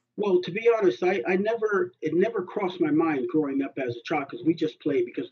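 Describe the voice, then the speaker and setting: This man has a Californian accent. He talks at a very fast pace with lively intonation. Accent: American, California. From California, US. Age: 50s. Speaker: basketball coach. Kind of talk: casual interview. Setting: at home.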